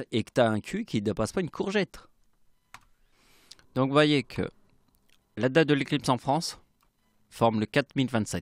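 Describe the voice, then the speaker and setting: A man talks at a moderate pace and medium pitch with lively intonation, big swings in loudness and long, frequent pauses. The sound is dry and close with no echo on a very clean recording with a silent background. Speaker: youtuber explaining numerology theories. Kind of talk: monologue video explanation.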